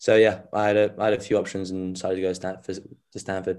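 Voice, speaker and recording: A man's fairly low, monotone voice with flat intonation, at a fairly quick pace on a very clean recording with a silent background. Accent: London. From southwest London (Wimbledon), French parents. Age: young. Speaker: tennis player, student athlete. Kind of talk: interview answers, casual. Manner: hesitant, many fillers.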